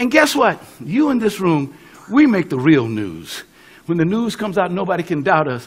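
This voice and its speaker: Speaking at a moderate pace with an American accent, a man uses a high pitch and very wide pitch swings. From US West (California). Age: 70s. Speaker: pastor and civil rights activist. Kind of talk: speech. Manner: animated.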